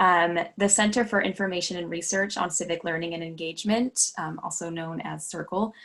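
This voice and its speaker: In an ordinary speaking voice, a woman talks with fairly low pitch and fairly even intonation, with hardly any pauses. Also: fairly quick pace. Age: 20s. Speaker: voter registration trainer. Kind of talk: training presentation. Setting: video call.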